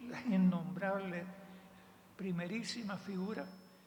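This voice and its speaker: Audible room echo hangs around the voice. A woman talks at a fairly slow pace. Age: 80s+. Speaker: veteran dance teacher. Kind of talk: panel talk.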